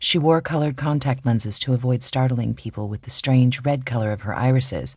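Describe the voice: Ordinary pitch variation in plain reading aloud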